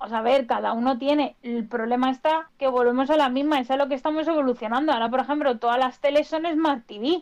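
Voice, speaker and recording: A woman with a high pitch talks at a very fast pace, with hardly any pauses. Her intonation stays fairly even. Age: 20s. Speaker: AI guest speaker. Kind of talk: casual chat.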